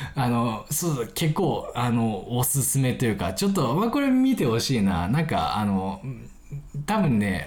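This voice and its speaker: Amid noticeable background noise and audible room echo, a man keeps a very even loudness while his pitch swings very widely. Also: medium pitch for a man, fairly slow pace. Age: 20s. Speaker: podcast host. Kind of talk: casual solo chat. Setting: recording late at night. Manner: casual, filler-heavy.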